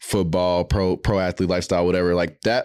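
With a clear, smooth tone and a low pitch, a man speaks at a fairly quick pace with little pitch movement in a very clean recording over a silent background.

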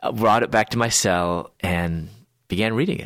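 Moderate pace from a man with an American accent, very clean recording, silent background. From US Midwest, Chicago suburbs. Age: 40s. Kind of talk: testimony.

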